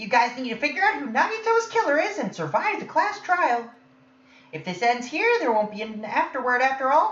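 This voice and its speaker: Putting on a character voice, a man talks at a fairly quick pace in an extremely high pitch with very wide pitch swings. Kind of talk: fan dub voice acting. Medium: machinima. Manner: playful, taunting.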